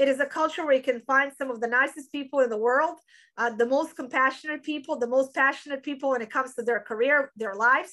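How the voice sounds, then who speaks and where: A woman talks very fast in a raised, projected voice with a bright, sharp tone. Her pitch is high with ordinary variation, and the background is quiet. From Europe. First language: non-English European language. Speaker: business school dean. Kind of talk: interview. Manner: hesitant, many fillers.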